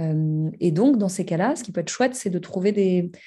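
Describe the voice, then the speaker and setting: A woman speaks at medium pitch with ordinary pitch variation. Her tone is dark and mellow, and somewhat breathy. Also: quiet background. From Paris, France. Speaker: meditation trainer. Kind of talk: interview. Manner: hesitant, many fillers.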